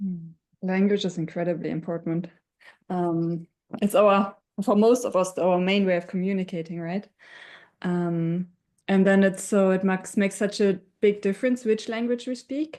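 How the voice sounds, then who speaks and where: A woman at a moderate pace, medium pitch, dark and mellow tone, fairly even intonation, with a German accent and a quiet background. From Germany. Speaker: webinar panelist. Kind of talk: panel discussion.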